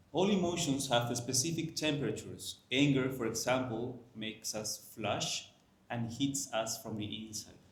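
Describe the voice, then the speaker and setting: A man with a Spanish accent speaks at a medium pitch with ordinary pitch variation, with noticeable background noise and audible room echo. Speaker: Chinese medicine teacher. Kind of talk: lecture. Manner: slow; halting.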